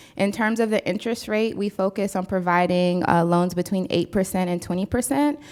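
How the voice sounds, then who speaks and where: A woman with an American accent has an unremarkable speaking voice, talking at a fairly quick pace with hardly any pauses, very even loudness, medium pitch and ordinary pitch variation. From US West Coast (San Diego). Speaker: entrepreneur, keynote speaker. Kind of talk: audience Q&A.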